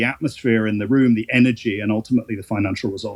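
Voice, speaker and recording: A man is speaking. He has a British accent. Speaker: art auctioneer. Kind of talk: interview conversation. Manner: hesitant, many fillers.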